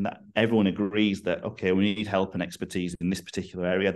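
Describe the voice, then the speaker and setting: Over a quiet background, a man with a northern English accent speaks at a very fast pace in a very deep, low pitch with monotone, flat intonation. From northern England. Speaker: rugby strength and conditioning coach. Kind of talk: podcast interview.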